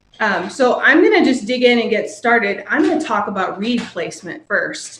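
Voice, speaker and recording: A plain, everyday voice from a woman with an American accent, fairly high in pitch and fairly slow in pace. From Virginia (Roanoke). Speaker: orchestra clarinetist teaching a class. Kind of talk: online music lesson. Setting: live video stream from home. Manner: casual, many filler ums.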